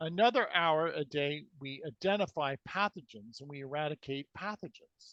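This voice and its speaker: A man speaks with an unremarkable speaking voice, pitched fairly high, with lively intonation. The sound is dry and close, with no echo. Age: 60s. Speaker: alternative healing researcher. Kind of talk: interview with demonstration.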